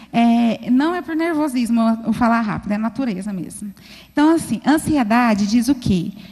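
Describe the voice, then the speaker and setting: Her dark, mellow tone at a fairly high pitch, this woman speaks at a moderate pace with lively intonation. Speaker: preacher. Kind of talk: sermon. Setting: church.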